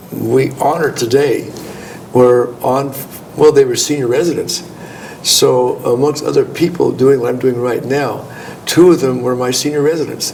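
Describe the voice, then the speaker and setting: With an American accent and a medium pitch, a man talks at a moderate pace with fairly even intonation and long, frequent pauses, amid noticeable background noise and audible room echo. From California. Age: 70s. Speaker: gynecologist. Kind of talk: interview. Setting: conference.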